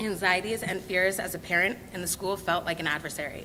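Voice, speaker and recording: A woman with a plain, everyday voice talks at a moderate pace and medium pitch, with fairly even intonation. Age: 30s. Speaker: school board candidate, parent. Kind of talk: candidate speech.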